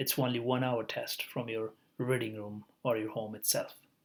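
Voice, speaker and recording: The speaker is a man with a non-native accent. He talks at a fairly slow pace. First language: not English. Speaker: education vlogger. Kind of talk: tutorial. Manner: halting, many fillers.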